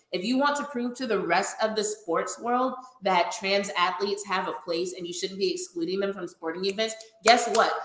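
The voice shows ordinary pitch variation. Noticeable background noise sits behind it. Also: woman, medium pitch for a woman, moderate pace. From Louisiana. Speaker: sports podcast host and roller derby skater. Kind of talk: casual chat.

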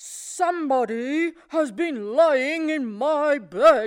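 A gruff, high-pitched put-on character voice at a very slow pace. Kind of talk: storybook.

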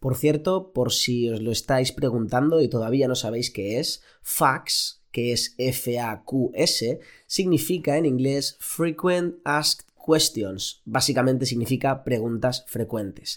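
Very slow speech from a man at medium pitch, hardly any pauses, ordinary pitch variation, on a very clean recording with a silent background. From Spain, Elche (Valencian region). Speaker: doctor, endocrinologist, podcast host. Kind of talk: solo podcast monologue. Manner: casual, with fillers and repetitions.

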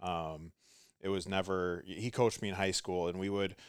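On a very clean recording with a silent background, the talking runs fairly quickly. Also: man. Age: 30s. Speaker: gym manager and coach. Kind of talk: casual interview. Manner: halting, many fillers and restarts.

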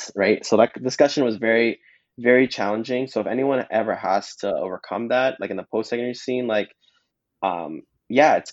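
With a Canadian accent, a man speaks at a very fast pace. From Canada, Mississauga, Ontario. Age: 20s. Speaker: dancer and nurse. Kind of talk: casual chat.

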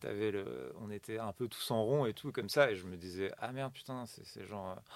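A man's fairly low-pitched voice at a fairly slow pace, with ordinary pitch variation and big swings in loudness. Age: 40s. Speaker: comedian. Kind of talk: casual chat. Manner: halting.

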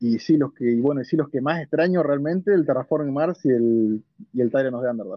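Speaking in a Rioplatense accent, a man keeps a moderate pace and medium pitch with ordinary pitch variation. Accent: Argentine Spanish (rioplatense). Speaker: board game café staff. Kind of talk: interview. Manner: hesitant, many fillers.

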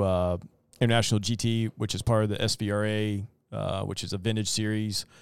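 Pitched fairly low, a man with a plain, everyday voice speaks at a moderate pace with fairly even intonation, recorded very cleanly against a silent background. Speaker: podcast co-host. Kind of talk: casual podcast conversation.

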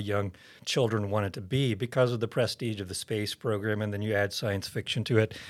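A plain, everyday voice from a man, medium in pitch, at a fairly quick pace. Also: very clean recording, silent background. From Oklahoma. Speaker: seminary president and pastor. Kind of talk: interview testimony.

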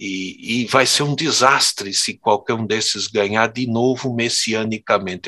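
Against a quiet background, a man of medium pitch speaks at a fairly slow pace. His tone is bright and sharp, and the sound is dry and close with no echo. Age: 60s. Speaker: theologian and professor. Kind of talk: interview conversation.

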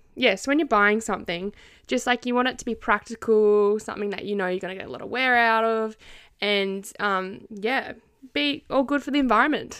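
A woman with an Australian accent, fairly high-pitched and fairly quick, with big swings in loudness, on a very clean recording with a silent background. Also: ordinary pitch variation. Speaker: podcast co-host, university student. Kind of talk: casual chat.

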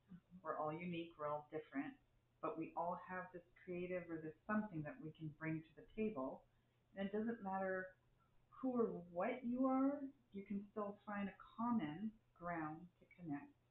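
A woman's voice with lively intonation and big swings in loudness, over noticeable background noise. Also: medium pitch for a woman, moderate pace. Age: 50s. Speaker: spiritual circle participant. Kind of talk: casual chat. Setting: live recording.

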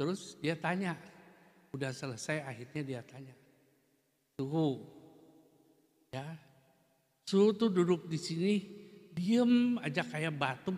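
With lively intonation and big swings in loudness, a man talks very slowly in a fairly high voice, leaving long, frequent pauses. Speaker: Buddhist teacher. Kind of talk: dharma talk. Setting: Buddhist temple. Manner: hesitant fillers at times.

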